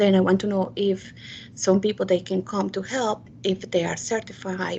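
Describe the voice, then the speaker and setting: Speaking in a Spanish accent, a woman holds a medium pitch with monotone, flat intonation and vocal fry. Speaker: committee member. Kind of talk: virtual public meeting. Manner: halting.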